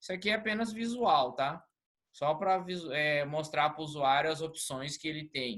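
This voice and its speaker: This man has a normal speaking voice with fairly high pitch. His pitch variation is ordinary, and his pace is moderate. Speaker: lecturer. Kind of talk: online lecture.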